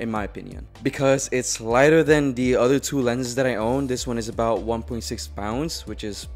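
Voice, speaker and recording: Over faint background music, a man speaks at a moderate pace with hardly any pauses. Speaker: photographer vlogger. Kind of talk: casual gear review vlog. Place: home room. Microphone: studio mic.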